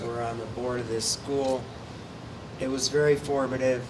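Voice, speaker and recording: Audible room echo and noticeable background noise surround a man with a West Coast accent, who speaks at medium pitch in a monotone, flat delivery. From southern California (Ojai). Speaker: artist and mezcal producer. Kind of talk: panel talk.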